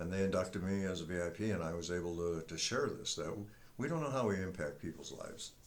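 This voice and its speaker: Someone talks at a very fast pace with audible room echo. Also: man. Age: 70s. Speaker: retired military veteran and senior powerlifter. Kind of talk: casual talk to camera.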